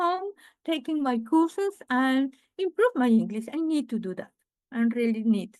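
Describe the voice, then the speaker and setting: Speaking with a Spanish accent, a woman uses a high pitch at a moderate pace. The sound is dry and close, with no echo. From Venezuela. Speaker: real estate investor. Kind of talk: interview. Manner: halting.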